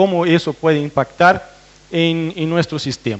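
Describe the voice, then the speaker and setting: The voice belongs to a man. His pitch is high. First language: Portuguese (speaking Spanish). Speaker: veterinarian researcher. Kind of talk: technical presentation to farmers. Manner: hesitant, with fillers and restarts.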